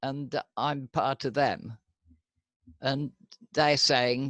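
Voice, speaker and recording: Heard in a dry, close sound with no echo on a very clean recording with a silent background, the speaker uses ordinary pitch variation with a British accent. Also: man. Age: 80s+. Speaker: medical cannabis patient facing prosecution. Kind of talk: interview.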